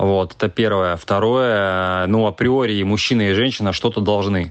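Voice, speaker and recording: An unremarkable speaking voice from a man, fairly low in pitch, with fairly even intonation at a moderate pace. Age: 40s. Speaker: businessman. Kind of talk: recorded monologue.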